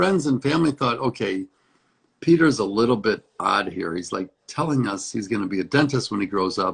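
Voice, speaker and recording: A man with an American accent talks in an ordinary speaking voice at a medium pitch and moderate pace, with lively intonation. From US Midwest, Hinsdale, Illinois. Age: 60s. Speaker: dentist. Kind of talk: interview.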